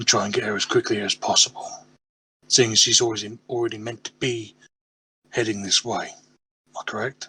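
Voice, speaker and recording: Using a raspy, put-on character voice, a man speaks at a moderate pace and medium pitch in a monotone, flat intonation, with big swings in loudness and a dry, close sound with no echo. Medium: actual play. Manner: blunt, decisive.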